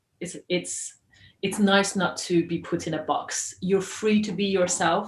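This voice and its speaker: A woman speaks at a very slow pace. Her voice is medium in pitch and somewhat breathy. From Iran, then moved between many countries. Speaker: journalist and filmmaker. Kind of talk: interview.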